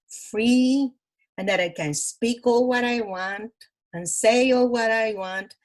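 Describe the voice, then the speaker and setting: Very slowly, a woman speaks. Her pitch is fairly high. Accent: Cuban. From Cuba (Matanzas). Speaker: Cuban immigrant sharing life story. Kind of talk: interview. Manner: animated.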